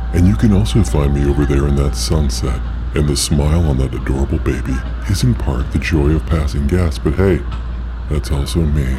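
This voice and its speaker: A gravelly, put-on character voice from a man at a fairly quick pace, with loud background noise. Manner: jokey ad-read.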